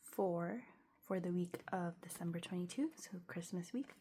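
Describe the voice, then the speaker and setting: A woman speaks at a medium pitch, somewhat breathy, with a dark, mellow tone. Her pitch varies in an ordinary way. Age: 20s. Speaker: budgeting vlogger. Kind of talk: casual tutorial vlog. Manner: casual, many fillers.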